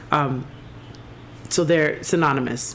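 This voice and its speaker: With fairly even intonation, a woman talks against noticeable background noise. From Jamaica. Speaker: podcast host. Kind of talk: casual chat.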